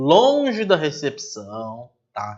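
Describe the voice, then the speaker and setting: Very wide pitch swings in a high-pitched male voice. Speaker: teacher. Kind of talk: online lecture.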